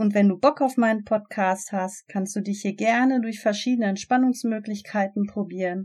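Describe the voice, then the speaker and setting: Somewhat breathy speech at a moderate pace with ordinary pitch variation, in a very clean recording against a silent background. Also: woman. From Germany, Ruhr area (Gelsenkirchen). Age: 30s. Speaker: podcast host, relaxation instructor. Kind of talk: podcast intro monologue.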